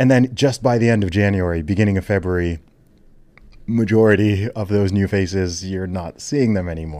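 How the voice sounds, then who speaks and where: Here a man has an ordinary speaking voice, pitched fairly low with ordinary pitch variation. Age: 30s. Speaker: podcast host. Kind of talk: casual chat. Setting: studio. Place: studio. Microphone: studio mic.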